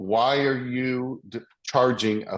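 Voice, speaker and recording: The voice belongs to a man and sits at a medium pitch. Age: old. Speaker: real estate broker teaching a class. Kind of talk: class Q&A.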